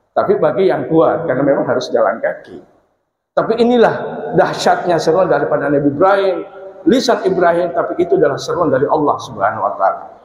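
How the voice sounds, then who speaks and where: A man talking at a very fast pace, with audible room echo. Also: very even loudness. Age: 50s. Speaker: preacher. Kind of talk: sermon. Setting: mosque.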